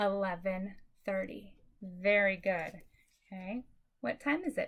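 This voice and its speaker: A woman speaks at a fairly slow pace, somewhat breathy. Her tone is upbeat, with ordinary pitch variation. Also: medium pitch for a woman. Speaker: elementary school teacher. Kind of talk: remote lesson for young pupils. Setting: recorded video lesson. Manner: upbeat, encouraging.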